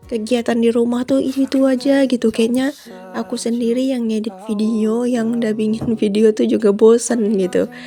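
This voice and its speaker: Over music in the background, the voice runs in a monotone, flat intonation with hardly any pauses. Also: woman, fairly high pitch for a woman. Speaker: housewife vlogger. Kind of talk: vlog voiceover narration. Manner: slow; casual, chatty.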